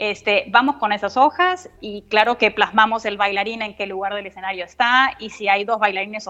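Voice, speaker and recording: A woman with a normal speaking voice, fairly high-pitched, at a moderate pace with fairly even intonation. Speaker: dance notator and ballet teacher. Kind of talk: interview.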